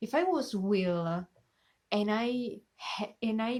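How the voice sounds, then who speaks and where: A woman is speaking. She has an Italian accent. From Italy. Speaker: reaction youtuber. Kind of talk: casual chat. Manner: halting.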